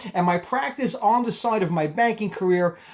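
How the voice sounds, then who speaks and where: With a Brooklyn accent, a man talks in an animated tone with lively intonation. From Brooklyn, New York. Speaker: tax advisor and network marketer. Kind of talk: live stream talk. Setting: live video stream. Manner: fast.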